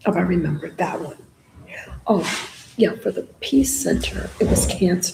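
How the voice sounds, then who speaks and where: A woman with an American accent at a moderate pace, long, frequent pauses, and noticeable background noise. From North Carolina, Orange County. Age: 70s. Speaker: poet and workshop leader. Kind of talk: casual chat.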